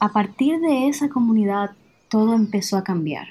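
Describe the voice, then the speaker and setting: Her fairly high, somewhat breathy voice has lively intonation as the woman speaks at a moderate pace. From Dominican Republic. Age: 20s. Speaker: traveler and storyteller. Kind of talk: personal testimony.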